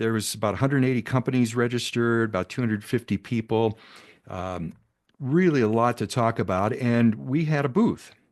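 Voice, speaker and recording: Against a quiet background, a man talks at a fairly quick pace in a medium pitch with ordinary pitch variation. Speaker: meeting host, hydrogen network organizer. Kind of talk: online meeting presentation. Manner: fast; hesitant, many fillers.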